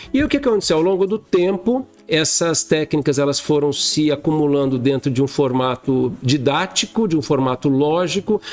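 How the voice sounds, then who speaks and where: Over music in the background, a man with a fairly high voice talks at a moderate pace with lively intonation, hardly any pauses and very even loudness. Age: 60s. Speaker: dentist and educator. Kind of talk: interview conversation.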